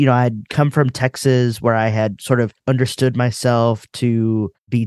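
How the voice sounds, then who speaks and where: A man has an ordinary speaking voice with a medium pitch and fairly even intonation. The sound is dry and close with no echo, over a quiet background. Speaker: theologian and minister. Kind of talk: interview.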